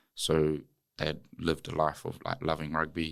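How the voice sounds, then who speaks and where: Here is a man with a New Zealand accent. His pitch is very deep and low. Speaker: former rugby player and wellness entrepreneur. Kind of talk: podcast interview. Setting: studio.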